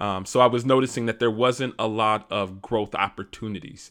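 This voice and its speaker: Speaking at a fairly quick pace, a man with an American accent has a medium pitch. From US Midwest, Detroit, Michigan. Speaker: podcast host, cybersecurity engineer. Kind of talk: solo podcast monologue. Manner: casual, with frequent fillers.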